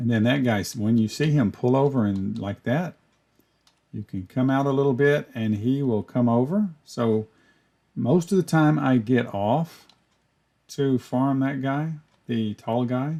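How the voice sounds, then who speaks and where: Ordinary pitch variation colors a dark, mellow tone. Delivery is fairly slow. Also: man, medium pitch for a man. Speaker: gaming youtuber. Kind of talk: gameplay tutorial commentary. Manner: casual, conversational.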